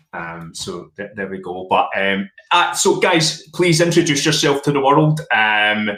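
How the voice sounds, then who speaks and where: A man's fairly high voice in a Glaswegian accent, fairly slow with hardly any pauses, very wide pitch swings and big swings in loudness. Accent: Glaswegian Scottish. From Glasgow, Scotland. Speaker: podcast host. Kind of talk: casual chat.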